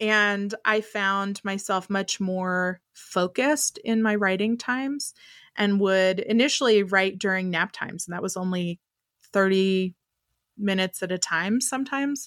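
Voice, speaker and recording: On a very clean recording with a silent background and a dry, close sound with no echo, a woman with an American accent speaks in a plain, everyday voice at a fairly slow pace, medium pitch and ordinary pitch variation. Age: 30s. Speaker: writer. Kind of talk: casual chat.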